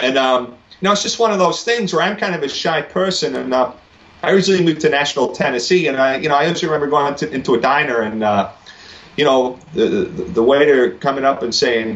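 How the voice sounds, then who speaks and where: With lively intonation, a man talks very fast in a fairly high voice. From northwest England, Wigan. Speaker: singer. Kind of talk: casual interview. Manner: halting, many fillers.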